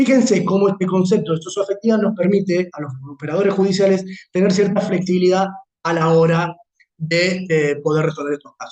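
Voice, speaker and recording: With ordinary pitch variation, the speech runs at a fairly quick pace. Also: man, high pitch for a man. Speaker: law lecturer. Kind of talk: lecture. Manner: fast.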